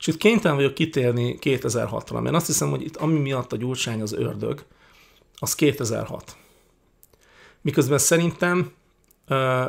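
With a quiet background, an unremarkable speaking voice carries ordinary pitch variation at a fairly slow pace. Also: man. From Hungary. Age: 40s. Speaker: YouTuber, political commentator. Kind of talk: casual Q&A monologue. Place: home room. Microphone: studio mic.

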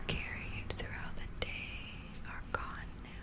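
The voice is whispering, soft-spoken and has a gentle, soothing tone. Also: woman. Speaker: relaxation video host. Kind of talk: soft soothing sleep talk. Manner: soft, gentle, soothing near-whisper. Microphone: studio mic.

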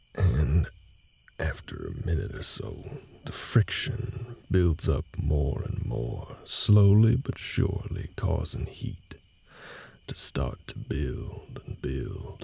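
A man's put-on character voice, extremely low-pitched and slow, with a dark, mellow tone, a husky, rough edge, vocal fry and big pitch swings.

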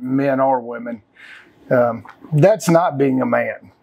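A man speaks with ordinary pitch variation. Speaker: podcast guest or host. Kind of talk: interview answer. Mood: opinionated, animated. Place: home room.

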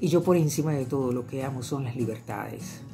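Over clear music in the background, a woman speaks at a moderate pace. Her voice is very deep and low, with ordinary pitch variation. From Venezuela. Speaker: journalist and radio host. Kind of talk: interview answer. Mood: earnest, assertive, self-reflective. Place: home room. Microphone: webcam.

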